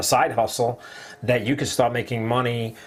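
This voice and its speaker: A man with a New Jersey accent over noticeable background noise. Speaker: online marketing livestream host. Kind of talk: casual live-stream chat.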